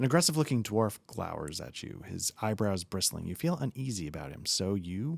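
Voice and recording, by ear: The voice reads aloud naturally. Its intonation rises and falls with liveliness.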